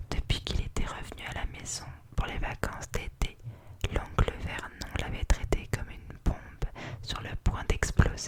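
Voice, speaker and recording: Whispering at a fairly slow pace amid noticeable background noise. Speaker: ASMR artist. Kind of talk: read story. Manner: whispered.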